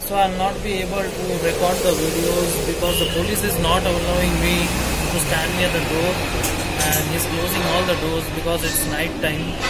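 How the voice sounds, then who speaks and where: Moderately paced speech from a man, backed by music. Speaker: travel vlogger. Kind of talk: casual vlog chat. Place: train. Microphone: phone near.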